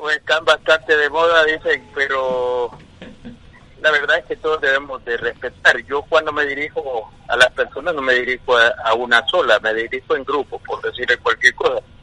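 The man's voice sounds dry and close, free of echo, as he talks at a moderate pace. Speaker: football club executive. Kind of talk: radio interview.

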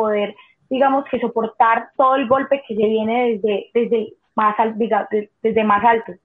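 A woman with a normal speaking voice talks at a moderate pace. Her pitch is fairly high and her intonation fairly even. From Colombia, Cali. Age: 20s. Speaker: cliff diver. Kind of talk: interview.

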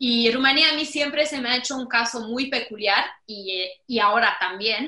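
Speaking at a fairly slow pace, a woman with a Mexican accent uses ordinary pitch variation. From Romania. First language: Romanian (speaking Spanish). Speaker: digital business consultant. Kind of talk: casual chat.

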